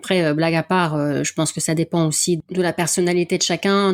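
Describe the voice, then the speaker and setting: A woman with a northern French accent speaks at a fairly low pitch and a moderate pace. Her intonation is monotone and flat, on a very clean recording with a silent background. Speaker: athletics event volunteer and podcaster. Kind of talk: interview. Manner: casual, many hesitations.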